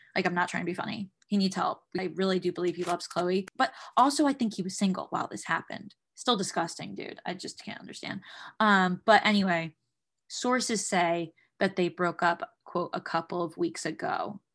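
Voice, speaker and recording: An animated woman at medium pitch, moderate in pace, with ordinary pitch variation. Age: 20s. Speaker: entertainment podcast host. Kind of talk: casual celebrity gossip recap.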